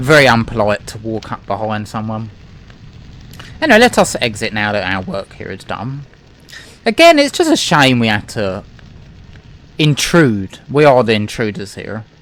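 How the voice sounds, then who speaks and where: Noticeable background noise sits behind a man speaking at a medium pitch and moderate pace with ordinary pitch variation. His loudness swings widely, and he takes long, frequent pauses. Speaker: gaming let's play commentator. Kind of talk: gameplay commentary. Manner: casual, conversational.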